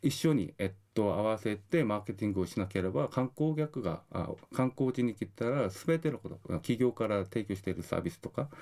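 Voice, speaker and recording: A man with a Korean accent, fairly low in pitch with a dark, mellow tone, fairly quick in pace and lively in intonation. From South Korea. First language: Korean (speaking Japanese). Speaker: university lecturer in tourism marketing. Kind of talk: radio interview. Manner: halting, many fillers.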